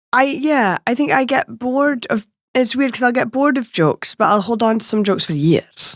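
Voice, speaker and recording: A woman with a Shetland accent speaks at a high pitch and a fairly quick pace, her intonation lively. The sound is dry and close with no echo, and her loudness stays very even. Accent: Scottish, Shetland. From Shetland, Scotland. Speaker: stand-up comedian. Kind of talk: podcast interview answer.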